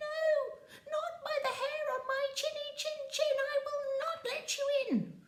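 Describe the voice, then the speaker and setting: Putting on a cartoonish character voice, a woman talks at an extremely high pitch and a fairly slow pace. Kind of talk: children's story telling. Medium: puppet.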